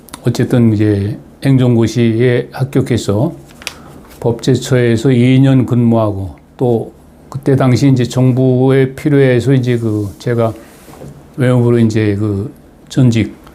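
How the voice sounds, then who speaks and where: Over noticeable background noise, a man at medium pitch speaks at a very slow pace with long, frequent pauses, fairly even intonation and very even loudness. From Chungcheong, South Korea (Asan, Daejeon). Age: 80s+. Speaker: retired diplomat, political commentator. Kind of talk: personal talk to viewers. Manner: halting, many fillers.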